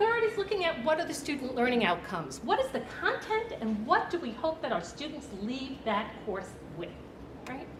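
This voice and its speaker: Over noticeable background noise and audible room echo, a woman with a Brooklyn accent speaks at a moderate pace in a high pitch with very wide pitch swings. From Brooklyn, New York. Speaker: nursing professor. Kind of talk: presentation.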